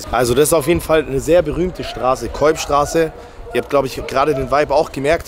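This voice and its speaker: A man with a fairly high pitch speaks at a very fast pace in a dry sound with no echo, with light background noise. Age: 20s. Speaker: YouTuber doing street interviews and food reviews; YouTuber doing street interviews, food reviews. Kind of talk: street interviews and food review vlog. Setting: outdoors in city streets and döner shops. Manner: animated. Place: street. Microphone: phone near.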